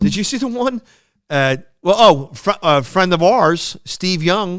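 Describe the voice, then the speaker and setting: This man has a strong Philadelphia accent and a high voice. He talks at a fairly slow pace with lively intonation. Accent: thick Philadelphia. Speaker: podcast co-host. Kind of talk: casual chat. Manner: halting, many fillers and restarts.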